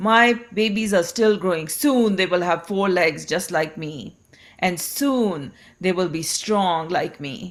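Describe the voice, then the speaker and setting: In a very clean recording with a silent background, a woman performs a put-on character voice. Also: medium pitch for a woman, fairly slow pace. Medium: read story. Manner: blustering, domineering.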